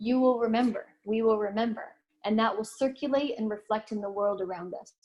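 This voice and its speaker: Fairly high in pitch, a woman speaks at a fairly quick pace. Her intonation stays fairly even. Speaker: spiritual teacher. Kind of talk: lecture. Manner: fast.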